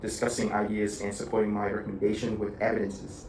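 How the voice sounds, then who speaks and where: A man speaks with a fairly low pitch. Room echo is audible. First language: not English. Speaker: university student. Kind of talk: video log. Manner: halting.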